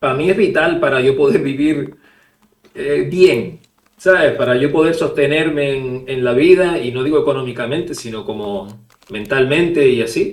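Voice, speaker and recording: This man's voice sits fairly high and moves through ordinary pitch variation at a moderate pace. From Canary Islands, Spain. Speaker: illustrator. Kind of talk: interview. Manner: halting, many repetitions.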